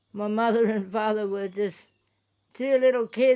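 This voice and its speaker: In a very clean recording with a silent background, a woman speaks at a fairly slow pace with a fairly high pitch. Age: 60s. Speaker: Stolen Generations survivor. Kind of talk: personal life story testimony.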